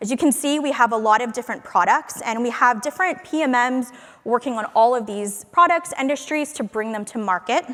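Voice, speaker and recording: Loud and high-pitched, a woman speaks at a fairly quick pace with lively intonation. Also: hardly any pauses. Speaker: conference speaker, product marketing manager. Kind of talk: conference talk. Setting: stage with audience.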